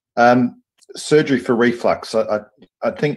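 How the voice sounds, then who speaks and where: A man with an Australian accent at a fairly slow pace, quiet background behind him. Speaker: surgeon and professor; professor. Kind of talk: lecture; interview. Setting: video call. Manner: hesitant, many fillers. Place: office. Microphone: video call.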